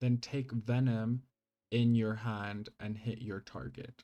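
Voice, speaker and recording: Speech in a non-native accent unfolds at a fairly slow pace. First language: not English. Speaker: gaming YouTuber. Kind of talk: gameplay mod showcase. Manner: casual, hesitant with fillers.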